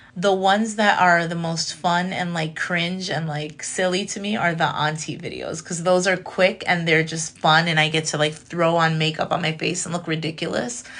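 A woman speaks in a plain, everyday voice with an American accent. Her pitch is fairly low, her intonation fairly even and her pace moderate. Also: hardly any pauses. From Chicago, US Midwest. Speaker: comedian and content creator. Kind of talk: casual chat.

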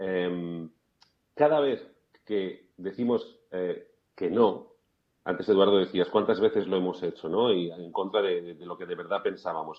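A man's very deep, low voice in a Castilian accent, fairly slow with long, frequent pauses, ordinary pitch variation and big swings in loudness. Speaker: life coach. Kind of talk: interview. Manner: quiet at times; hesitant, repeats words.

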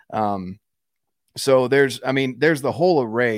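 An ordinary speaking voice with an American accent, ordinary pitch variation and a moderate pace, in a very clean recording with a silent background and a dry, close sound with no echo. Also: man. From North Carolina. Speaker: outdoorsman and content creator. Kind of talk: casual interview chat.

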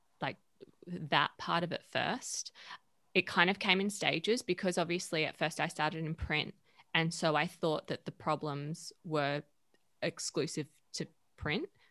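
A woman with an Australian accent speaks at a fairly low pitch with ordinary pitch variation and a bright, sharp tone. She takes long, frequent pauses, and the sound is dry and close with no echo. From Western Australia, Perth. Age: 30s. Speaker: media founder and editor. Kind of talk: casual interview.

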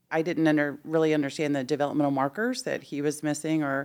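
In a very clean recording with a silent background, a woman with an American accent speaks at a fairly quick pace in a very deep, low pitch. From Houston, Texas. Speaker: education executive and former teacher. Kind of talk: casual interview.

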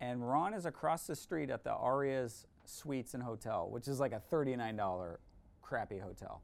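A man with an ordinary speaking voice talks at a moderate pace and medium pitch. His intonation is lively, on a very clean recording with a silent background. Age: 40s. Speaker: ministry founder and former youth pastor. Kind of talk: casual interview chat.

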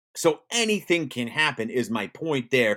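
Animated and enthusiastic, a man speaks at a medium pitch with vocal fry. His pitch swings very widely. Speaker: sports radio host. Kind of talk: sports talk radio commentary. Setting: live online show. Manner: animated, fast-paced, enthusiastic sports-talk delivery.

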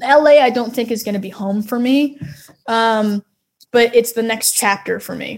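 A woman with a normal speaking voice and an American accent, fairly high pitch, fairly even intonation, fairly slow pace and big swings in loudness. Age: 20s. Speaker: singer-songwriter. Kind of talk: casual interview.

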